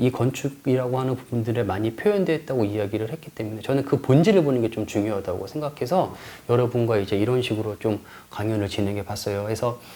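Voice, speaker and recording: A man at medium pitch and a fairly quick pace. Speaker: lecturer and tour guide. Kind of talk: online lecture. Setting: recorded in front of a camera. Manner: fast.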